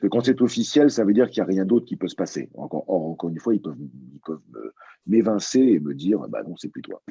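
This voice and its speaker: A man's fairly low, dark, mellow voice with vocal fry, very wide pitch swings and a fairly quick pace. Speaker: voice actor; stage and film actor. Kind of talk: interview answer.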